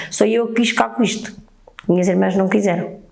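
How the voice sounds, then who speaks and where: A woman speaks with audible room echo and noticeable background noise around her. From northern Portugal, Oliveira de Azeméis area. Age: 60s. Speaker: baker. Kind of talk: interview testimony. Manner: halting.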